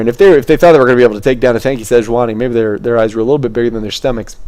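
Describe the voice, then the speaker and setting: A man's voice has a dark, mellow tone. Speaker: esports caster. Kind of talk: live commentary. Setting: home webcam stream. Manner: stuttering; fast.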